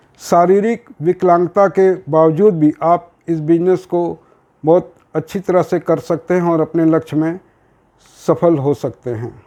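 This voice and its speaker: This man's voice is high-pitched with a dark, mellow tone and fairly even intonation. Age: 60s. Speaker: network marketing promoter. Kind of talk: sales pitch.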